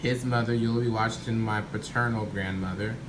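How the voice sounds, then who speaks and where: A man's speech, showing ordinary pitch variation, comes with noticeable background noise and audible room echo. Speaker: family history vlogger. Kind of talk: casual vlog monologue. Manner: halting, with many fillers and restarts.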